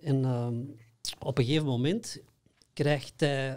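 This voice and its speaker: A very slow, somewhat breathy delivery with a dark, mellow tone and a slight Flemish accent. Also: man. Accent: Flemish, mild. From Belgium, Antwerp; Belgium. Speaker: workshop trainer in consciousness programs. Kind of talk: interview. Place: studio. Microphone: studio mic.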